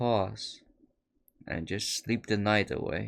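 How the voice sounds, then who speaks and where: A man with a Dutch accent and a fairly low pitch speaks at a fairly slow pace in a very clean recording with a silent background. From Netherlands. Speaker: podcaster. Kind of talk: late-night solo monologue. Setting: solo recording at a microphone. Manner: reflective, meandering.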